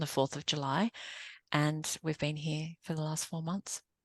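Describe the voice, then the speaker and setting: Against a quiet background, a woman with an Australian accent speaks in a very deep, low voice with fairly even intonation and a dry, close sound without echo. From Australia (Sydney). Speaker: business coach and consultant. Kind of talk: podcast interview.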